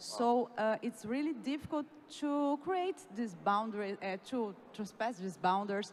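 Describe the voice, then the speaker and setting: With lively intonation and a fairly high voice, a woman speaks in a Brazilian accent over noticeable background noise. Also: fairly slow pace. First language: Portuguese. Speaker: youth leader. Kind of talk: panel discussion.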